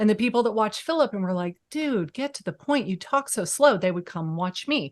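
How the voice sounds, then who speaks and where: A woman in an animated tone with very wide pitch swings, at a moderate pace, against a quiet background. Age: 50s. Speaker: real estate agent and YouTube coach. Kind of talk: podcast interview.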